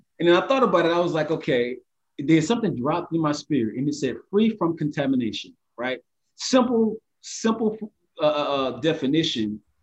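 A fairly quick pace broken by long, frequent pauses, with very wide pitch swings. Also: man, fairly high pitch for a man. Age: 30s. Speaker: podcast co-host. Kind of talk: faith discussion podcast.

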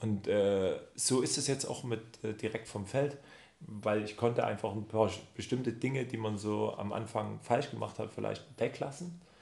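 Vocal fry marks a man's medium-pitched voice as he speaks at a fairly slow pace with ordinary pitch variation. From Saxony, near Chemnitz. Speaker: spice shop founder. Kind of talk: casual chat. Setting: office.

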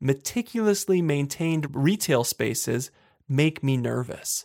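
A man with an ordinary speaking voice at a fairly high pitch, lively intonation and a fairly slow pace, on a very clean recording with a silent background and a dry, close sound with no echo. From western Pennsylvania, Johnstown. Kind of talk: solo monologue podcast.

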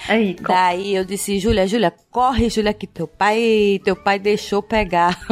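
A woman talks at a fairly slow pace in a flat monotone, with hardly any pauses. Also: medium pitch for a woman. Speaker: podcaster. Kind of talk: casual chat. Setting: recording at home sharing one mic with partner.

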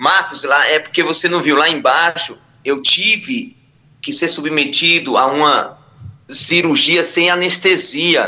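Pitched high, a man speaks with ordinary pitch variation. His pace is very slow. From Ilhéus, Bahia, Brazil. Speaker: preacher and former addict. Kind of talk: testimony.

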